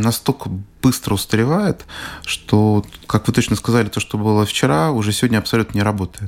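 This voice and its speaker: A plain, everyday voice from a man at fairly low pitch, at a moderate pace with ordinary pitch variation. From Russia. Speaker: business trainer and psychologist. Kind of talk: radio interview.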